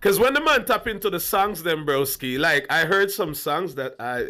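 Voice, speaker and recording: The recording is very clean with a silent background. The voice is loud and moves at a moderate pace. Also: man. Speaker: dancehall commentary vlogger. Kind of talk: reaction commentary. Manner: loud and emphatic.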